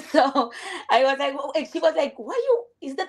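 A woman with a Venezuelan accent, high in pitch, with very wide pitch swings. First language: Spanish. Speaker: viewer on a live stream. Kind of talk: casual chat. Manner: halting.

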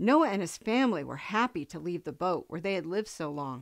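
A woman speaks in a gentle, warm tone with very wide pitch swings. The background is quiet. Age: old. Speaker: grandparent reading Bible stories. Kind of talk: bedtime Bible story read aloud to grandchildren. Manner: gentle, slow storybook pacing for children; warm, affectionate sign-off to little listeners. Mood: gentle, warm storytelling. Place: home room.

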